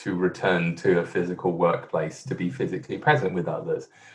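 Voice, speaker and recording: Somewhat breathy, a man speaks with a London accent. His pitch swings very widely. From London, England. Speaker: management consultant. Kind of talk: interview. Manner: hesitant, many fillers.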